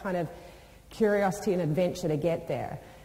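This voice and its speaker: With audible room echo, a woman of medium pitch talks at a fairly quick pace with ordinary pitch variation. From New Zealand and UK. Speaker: business executive, motivational speaker. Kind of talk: motivational talk. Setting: stage with audience. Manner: animated.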